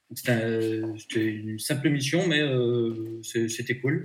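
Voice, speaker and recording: A man talks at a very slow pace in a medium pitch with ordinary pitch variation. Audible room echo surrounds him. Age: 30s. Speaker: job seeker. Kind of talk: interview.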